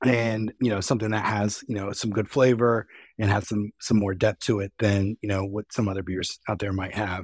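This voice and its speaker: In an American accent, a man speaks with an unremarkable speaking voice, a fairly low pitch and fairly even intonation, the sound dry and close with no echo. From US East Coast. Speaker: brewery co-founder. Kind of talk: casual interview.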